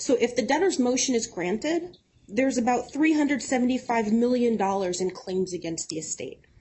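A woman talks at a fairly slow pace in a high voice. Her pitch swings very widely. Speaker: opposing lawyer for wallet holders. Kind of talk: courtroom oratory: an impassioned underdog's legal argument before the judge. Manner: formal, earnest, persuasive.

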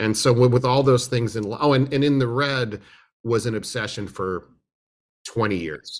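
A man's fairly quick speech in a West Coast accent, with ordinary pitch variation, on a very clean recording over a silent background. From US West Coast, Berkeley, California. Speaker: musician and film restorer. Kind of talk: interview. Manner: halting, many repetitions.

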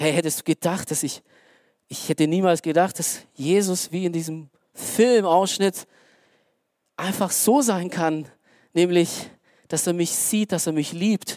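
An animated voice moves at a fairly slow pace with long, frequent pauses. The recording is very clean with a silent background. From Romania. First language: Romanian (speaking German). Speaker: lay preacher. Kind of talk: sermon. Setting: church stage with audience.

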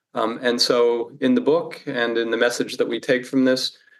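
A man talks at a moderate pace in an American accent. He has a normal speaking voice at medium pitch. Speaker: philosophy professor. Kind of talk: interview. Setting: remote call from home.

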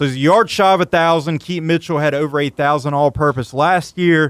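On a very clean recording with a silent background and a dry, close sound with no echo, a man with a fairly high pitch and a plain, everyday voice talks at a fairly quick pace. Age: 20s. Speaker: sports radio host. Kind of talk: sports talk radio.

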